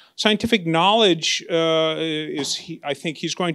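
A man speaks with high pitch and ordinary pitch variation. The background is quiet. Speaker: lecture host introducing speaker. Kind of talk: speaker introduction. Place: hall. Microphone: handheld.

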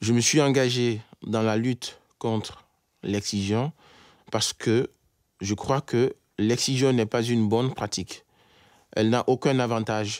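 A man at a fairly slow pace with fairly even intonation and long, frequent pauses, in a dry sound with no echo over a quiet background. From Guinea, Conakry. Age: 30s. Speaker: engineer and anti-FGM campaigner. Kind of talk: testimony. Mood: serious, earnest. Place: studio.

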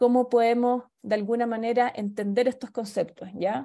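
Against a quiet background, a woman with a Chilean accent speaks in a fairly high, dark, mellow voice with ordinary pitch variation. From southern Chile. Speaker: anthropologist and lecturer; lecturer. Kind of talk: lecture. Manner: halting, many fillers. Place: home room. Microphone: webcam.

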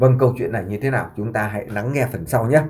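The speaker is a man with a medium pitch. His voice carries vocal fry. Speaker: YouTube vlogger. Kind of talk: commentary monologue.

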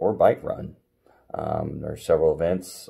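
The man has a dark, mellow tone. The background is quiet. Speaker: triathlon coach. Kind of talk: tips talk to camera. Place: home room. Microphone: phone near.

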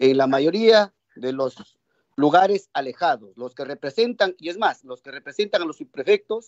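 A man with an unremarkable speaking voice, fairly high-pitched and lively in intonation, talks against a quiet background. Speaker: legislator. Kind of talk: parliamentary debate. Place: home room. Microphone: video call.

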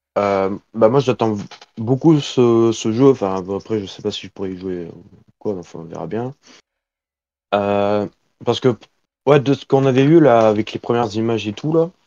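A man with a medium pitch talks at a moderate pace, with ordinary pitch variation and long, frequent pauses. His loudness swings widely. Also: dry, close sound with no echo. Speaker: stream participant. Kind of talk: casual chat. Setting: voice chat.

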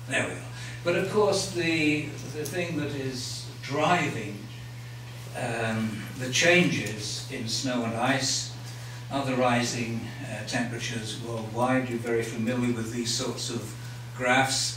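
Very slowly and at a medium pitch, a man speaks with ordinary pitch variation amid audible room echo and light background noise. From England. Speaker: glaciologist giving a public lecture. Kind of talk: lecture. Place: hall.

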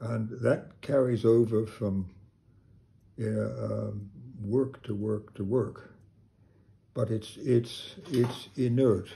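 Speaking at a very slow pace, a man leaves long, frequent pauses. His tone is dark and mellow, somewhat breathy, with fairly even intonation. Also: medium pitch for a man. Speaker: sculptor. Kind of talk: casual chat. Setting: studio. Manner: halting.

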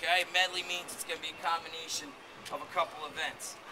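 This man speaks at a moderate pace in a raised, projected voice. There is noticeable background noise. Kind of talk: briefing instructions to competitors. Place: street. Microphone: camera far.

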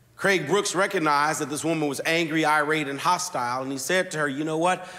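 A man's voice has a bright, sharp tone and ordinary pitch variation. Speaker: pastor. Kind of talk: sermon. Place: church. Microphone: lapel.

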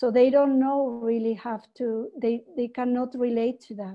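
Against a quiet background, a woman with a Spanish accent speaks fairly slowly in a monotone, flat way. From Peru. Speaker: webinar presenter. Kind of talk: webinar presentation. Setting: video call. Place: home room. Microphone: webcam.

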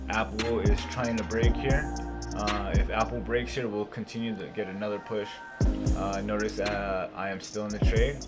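Loud music plays in the background as a man speaks at a moderate pace. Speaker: day trader. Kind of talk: trade recap screen-share commentary. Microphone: webcam.

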